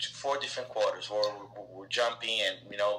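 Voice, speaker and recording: This is a man talking. He speaks with a Brazilian accent. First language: Portuguese. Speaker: soccer technical director; interview guest. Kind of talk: interview answer. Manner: hesitant, many filler words. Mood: friendly, reminiscing. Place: home room. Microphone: video call.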